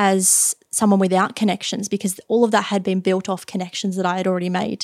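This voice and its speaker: Recorded very cleanly with a silent background and a dry, close sound with no echo, a woman speaks at a medium pitch with monotone, flat intonation in an Australian accent. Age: 20s. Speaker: IT and cybersecurity worker. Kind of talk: casual interview.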